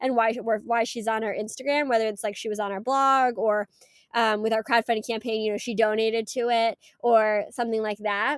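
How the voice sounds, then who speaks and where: A woman with a fairly high pitch speaks at a moderate pace in an ordinary speaking voice. The recording is very clean with a silent background and a dry, close sound with no echo. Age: 20s. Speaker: startup founder. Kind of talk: interview.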